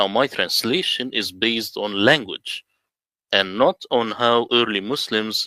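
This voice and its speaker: A man with an Arabic accent talks at a fairly slow pace in a very clean recording with a silent background and a dry, close sound with no echo. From Middle East. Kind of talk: presentation.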